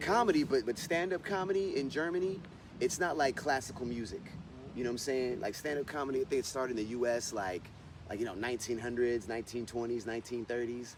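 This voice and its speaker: Talking at a very fast pace, a man with an American accent keeps a medium pitch and lively intonation. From United States. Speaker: stand-up comedian. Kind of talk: interview answer. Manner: casual, conversational.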